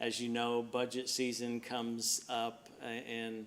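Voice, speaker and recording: A man with a Mississippi accent and a medium pitch. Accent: Southern US (Mississippi). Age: 60s. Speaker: city administrator. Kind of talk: public meeting address. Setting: city board meeting, speaking standing. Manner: halting, many fillers.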